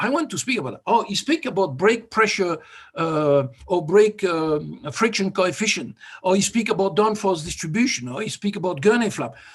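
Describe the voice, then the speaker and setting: The speaker has a slight French accent and uses very wide pitch swings. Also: man. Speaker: vehicle dynamics expert and competition judge. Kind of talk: workshop presentation.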